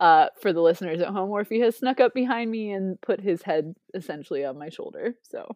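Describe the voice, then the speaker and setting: Speaking with a Midwestern American accent, a woman moves at a fairly quick pace with hardly any pauses and big swings in loudness. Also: medium pitch for a woman, lively intonation. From Ohio, US. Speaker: chemist and PhD candidate. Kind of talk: casual chat. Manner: animated.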